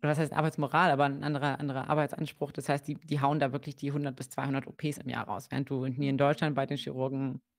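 Recorded very cleanly against a silent background, a woman speaks at a fairly quick pace in a very deep, low pitch with monotone, flat intonation. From Germany, Kassel (Hesse). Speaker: psychologist. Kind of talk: interview on a livestream. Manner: hesitant, many fillers.

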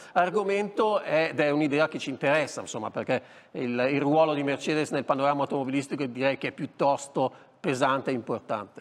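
An ordinary speaking voice, a man's, fairly high in pitch and fairly quick, with ordinary pitch variation. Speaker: TV motoring show host. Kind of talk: TV talk show interview. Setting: TV studio. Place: studio. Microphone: lapel.

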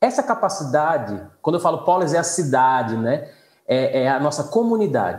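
At a moderate pace, a man with a northeastern Brazilian accent speaks in a somewhat breathy voice of fairly high pitch, with very wide pitch swings, very even loudness, and audible room echo. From Northeast Brazil. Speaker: law professor. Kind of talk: casual chat. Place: home room. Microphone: video call.

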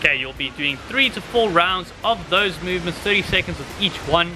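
A man's lively intonation at a moderate pace, with music in the background. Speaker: fitness coach. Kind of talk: workout instructions to viewers. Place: garden.

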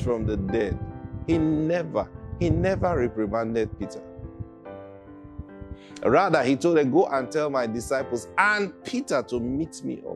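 With clear music in the background, a man talks at a fairly slow pace, leaving long, frequent pauses. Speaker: preacher. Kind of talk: sermon. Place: studio. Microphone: lapel.

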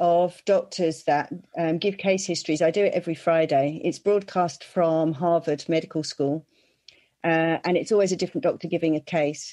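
In an English accent, a woman speaks at a moderate pace with a fairly low pitch. Her tone is dark and mellow, and her loudness stays very even. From England. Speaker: podcast co-host. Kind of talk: casual interview. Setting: video call.

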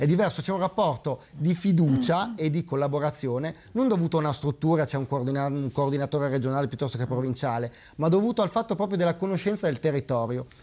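Very fast and lively in intonation, a man speaks at a fairly high pitch with a dark, mellow tone. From Parma, northern Italy; northern Italy. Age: 30s. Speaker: local political candidate; candidate. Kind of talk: TV political debate. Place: studio.

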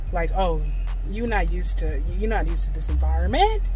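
A woman's voice, dry with no echo, over faint music in the background. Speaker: vlogger. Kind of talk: casual vlog chat. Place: car. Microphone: phone near.

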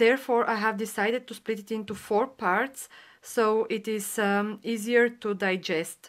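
On a very clean recording with a silent background, a woman with a non-native accent speaks fairly slowly at a fairly high pitch and with fairly even intonation. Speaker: painting tutor. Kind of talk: painting tutorial talk to camera. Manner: hesitant, with fillers.

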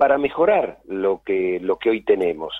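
The man talks at a fairly slow pace. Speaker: regulator official, vice president of a national media and telecom authority. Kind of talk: radio interview answer.

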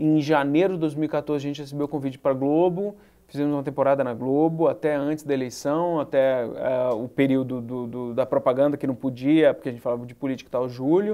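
This man has a fairly high voice with a dark, mellow tone. He talks at a fairly quick pace with fairly even intonation. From Brasília, Brazil. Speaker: journalist and web show host; journalist, web show host. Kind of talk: interview. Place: studio. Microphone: lapel.

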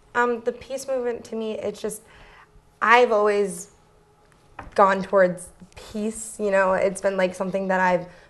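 A woman at a moderate pace, monotone and flat in intonation. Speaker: guest. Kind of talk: interview answer. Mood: friendly, smiling, a bit nervous. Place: studio.

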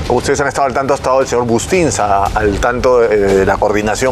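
A man talks at a very fast pace while music plays in the background. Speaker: sports commentator, guest. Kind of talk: commentary. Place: studio.

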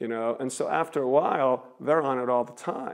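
Against a quiet background, a man with a medium-pitched voice talks at a moderate pace with fairly even intonation. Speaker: street preacher giving a seminary lecture. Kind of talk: public lecture to an audience. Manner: conversational, stream-of-consciousness. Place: hall.

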